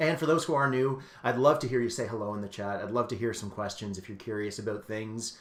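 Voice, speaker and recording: A man speaks with a Canadian accent at a medium pitch. The room adds an audible echo. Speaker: astronomer and science communicator. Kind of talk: live-streamed educational talk for kids. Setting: live stream. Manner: fast; animated.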